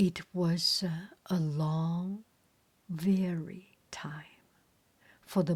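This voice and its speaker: A woman with a non-native accent speaks at a medium pitch with ordinary pitch variation. Her voice is somewhat breathy, with a dark, mellow tone. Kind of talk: bedtime story reading. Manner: soft-spoken, slow.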